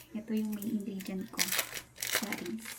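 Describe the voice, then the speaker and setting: A soft-spoken woman talks at a moderate pace and a fairly high pitch, with fairly even intonation. Noticeable background noise can be heard. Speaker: family vlogger. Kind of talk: cooking vlog.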